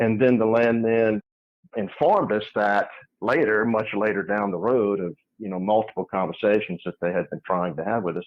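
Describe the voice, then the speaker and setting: A man with a normal speaking voice talks at a moderate pace, fairly low in pitch, with ordinary pitch variation. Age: 60s. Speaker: geologist and geophysicist. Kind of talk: interview.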